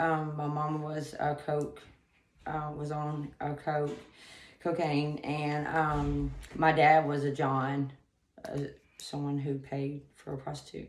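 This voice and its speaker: Speech comes at a very slow pace in a flat monotone, broken by long, frequent pauses, with audible room echo. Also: woman, very deep, low pitch for a woman. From US South, Atlanta. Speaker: rehab client. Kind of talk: testimony. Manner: halting, many fillers.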